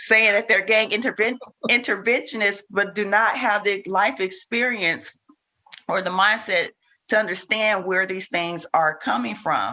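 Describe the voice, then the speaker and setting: A woman's bright, sharp voice at medium pitch, fairly slow, with ordinary pitch variation. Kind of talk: group discussion. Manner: hesitant, filler words.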